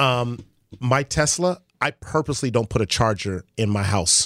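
In an American accent, a man speaks at a moderate pace with an animated tone, lively intonation, medium pitch and very even loudness, in a very clean recording with a silent background and a dry, close sound with no echo. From Los Angeles (Crenshaw), Nigerian household. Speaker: former professional athlete, father of four. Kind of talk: casual chat.

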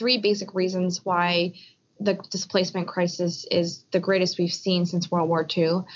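A woman speaks in an ordinary speaking voice with an American accent. Her pitch is medium and her pace is moderate. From US, Philadelphia. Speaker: refugee advocacy and policy executive. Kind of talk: interview. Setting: Skype call.

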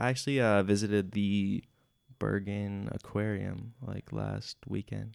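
A man with a Midwestern US accent talks at a fairly slow pace. The sound is dry and close with no echo, on a very clean recording with a silent background. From US Midwest. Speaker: podcast host, exchange student. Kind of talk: casual chat.

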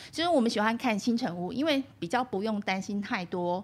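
A woman talks at a medium pitch with ordinary pitch variation. Her pace is moderate, and the recording is very clean with a silent background. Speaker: university radio instructor and podcast host. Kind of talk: interview. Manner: fluent.

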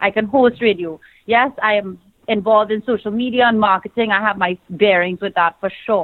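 Speaking at a moderate pace, a woman with a Trinidadian accent uses a medium pitch. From Trinidad and Tobago. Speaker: pageant titleholder, TV and radio host, fashion designer. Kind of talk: casual interview chat. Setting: phone call. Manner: passionate, animated.

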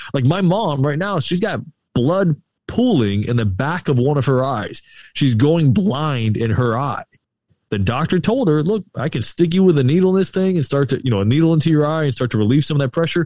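Speaking fairly quickly with an American accent, a man uses a fairly high pitch, lively intonation and a dark, mellow tone. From Florida, Tampa Bay area. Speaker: podcast guest. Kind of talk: casual chat. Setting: outdoors on remote call.

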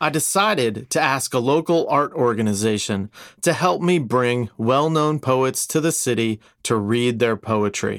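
In a very clean recording with a silent background, a man with an unremarkable speaking voice talks at medium pitch and a fairly slow pace, using lively intonation and very even loudness. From South Florida, Boca Raton. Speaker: poet and festival organizer. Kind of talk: storytelling.

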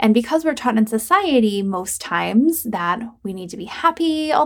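This woman has a fairly high voice and lively intonation. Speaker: podcast host and life coach. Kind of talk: solo podcast monologue. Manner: relaxed, chill delivery.

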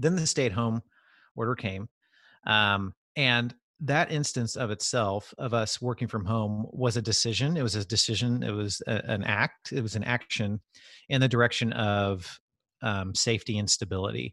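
Dry and close with no echo, this recording has a man talking at a moderate pace. His voice is medium in pitch with ordinary variation and a bright, sharp tone. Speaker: podcast co-host, business leader. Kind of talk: casual chat. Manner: less somber than before.

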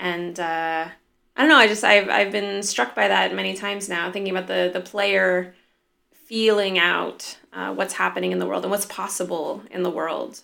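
A woman with an American accent speaks at a moderate pace in a very clean recording with a silent background. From Southern California. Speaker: indie game studio head and game designer. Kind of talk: casual interview.

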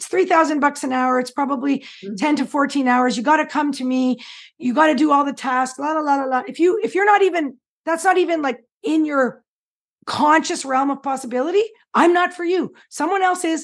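Over a quiet background, a woman talks at a fairly quick pace in a high pitch with ordinary pitch variation. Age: 50s. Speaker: change coach and hypnotherapist. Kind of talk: interview.

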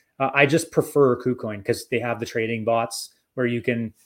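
A man with an Albertan accent speaks at a medium pitch in a very clean recording with a silent background. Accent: Canadian (Albertan). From Alberta, Canada. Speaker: crypto educator. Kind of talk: interview.

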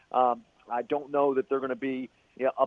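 A very fast pace in an American accent. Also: man. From Philadelphia. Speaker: radio play-by-play announcer. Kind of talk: casual chat.

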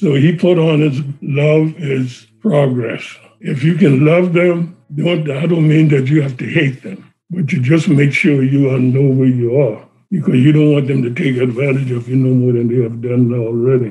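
A somewhat breathy, dark and mellow voice with an American accent, ordinary pitch variation and a moderate pace. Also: man, fairly high pitch for a man. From South Carolina, Johns Island. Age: 80s+. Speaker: son of civil rights activists. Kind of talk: oral history interview.

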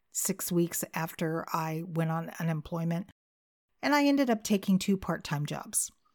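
On a very clean recording with a silent background, a woman with a fairly low pitch speaks at a moderate pace with lively intonation. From California. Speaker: podcast host and caregiver. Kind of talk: casual unscripted monologue. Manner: conversational, off the cuff.

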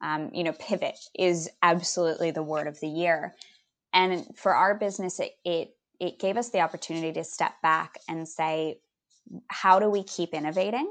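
Against a quiet background, a woman in a Californian accent speaks at a moderate pace, fairly low in pitch with fairly even intonation. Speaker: business founder. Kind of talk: interview.

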